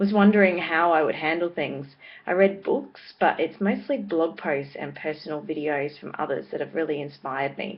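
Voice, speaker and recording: A woman with an Australian accent talks at a moderate pace in a very deep, low pitch. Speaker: vlogger and parenting blogger. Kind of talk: casual vlog monologue. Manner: hesitant, with many fillers.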